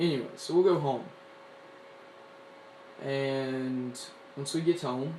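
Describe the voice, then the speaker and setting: Against noticeable background noise, a man with an American accent and a fairly high pitch speaks at a very slow pace with fairly even intonation and long, frequent pauses. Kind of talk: casual gadget review to camera. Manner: casual, rambling.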